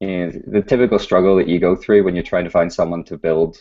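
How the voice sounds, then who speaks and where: Here is a man with a very deep, low pitch and a dark, mellow tone. His intonation stays fairly even. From UK. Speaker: startup founder. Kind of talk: interview.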